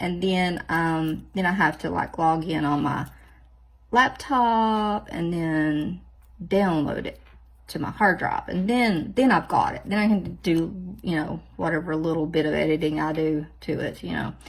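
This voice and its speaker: Speaking at a fairly slow pace, a woman with a fairly low pitch keeps an animated tone and ordinary pitch variation. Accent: Southern US. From US South. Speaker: nail art vlogger. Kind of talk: casual chat tutorial. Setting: home office. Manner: animated, chatty.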